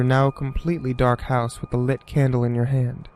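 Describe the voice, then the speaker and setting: Noticeable surrounding noise behind a man's voice pitched on the higher side. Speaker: creepypasta narrator. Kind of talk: horror story narration.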